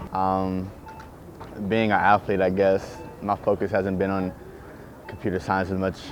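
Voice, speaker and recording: Over music in the background, a man with a Southern US accent speaks in a very deep, flat monotone at a moderate pace, leaving long, frequent pauses. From US South. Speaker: student athlete. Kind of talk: interview answers.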